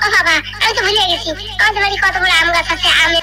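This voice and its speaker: An extremely high-pitched, cartoonish character voice rattles along at a very fast pace over loud background noise. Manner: hospitable, chatty.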